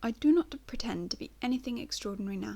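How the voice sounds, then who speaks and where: A woman talking at a fairly quick pace. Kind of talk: audiobook reading.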